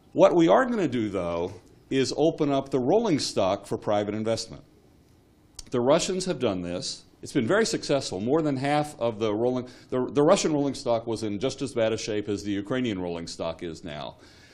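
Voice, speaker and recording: Talking at a moderate pace, a man with an American accent lets his pitch swing very widely. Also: medium pitch for a man. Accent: American accent, noticeable. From United States. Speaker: railway expert, government economist. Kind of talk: conference panel talk. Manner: halting, many fillers and repeats.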